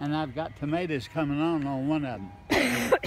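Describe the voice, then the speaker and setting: A man with a Midwestern US accent talks at a fairly high pitch and moderate pace amid noticeable background noise. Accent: rural Midwestern American. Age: 80s+. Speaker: gardener. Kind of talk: casual chat. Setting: outdoors.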